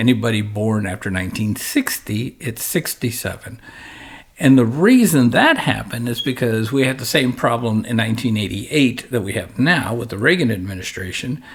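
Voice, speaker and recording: This man has an ordinary speaking voice at a medium pitch. He speaks at a moderate pace with ordinary pitch variation. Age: 60s. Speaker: financial advisor. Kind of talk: podcast discussion. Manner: conversational, with frequent self-corrections.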